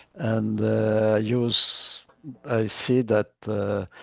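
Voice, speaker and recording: At a very slow pace, a man talks with a medium pitch and fairly even intonation. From Chile. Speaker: workshop facilitator. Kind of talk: online workshop introductions.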